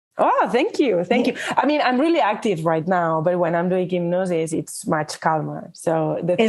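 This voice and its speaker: Energetic, lively speech at a moderate pace with hardly any pauses and very even loudness, over noticeable background noise. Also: woman, fairly low pitch for a woman. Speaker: hypnotist.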